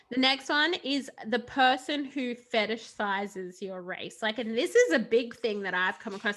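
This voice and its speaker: A woman with an Australian accent speaks at a moderate pace, her intonation lively and her delivery with hardly any pauses. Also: fairly high pitch for a woman. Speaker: podcast co-host. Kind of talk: casual chat.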